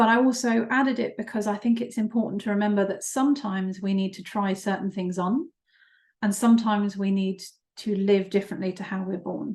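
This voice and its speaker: Somewhat breathy, a woman speaks fairly quickly at a medium pitch with fairly even intonation. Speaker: psychotherapist. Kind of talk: webinar presentation. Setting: online webinar. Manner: hesitant, many fillers.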